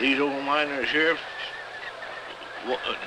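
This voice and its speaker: A man with a rural Western US accent and a fairly high pitch is heard amid noticeable background noise and audible room echo. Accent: rural American West. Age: 70s. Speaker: old miner. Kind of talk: documentary interview.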